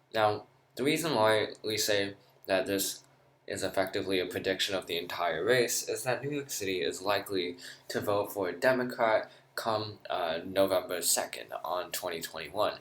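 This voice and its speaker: A man talks at a moderate pace. His pitch is fairly low. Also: ordinary pitch variation. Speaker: political commentator. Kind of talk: political analysis video. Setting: lounge, away from usual recording area. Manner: quieter than usual. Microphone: echoey, not usual recording setup.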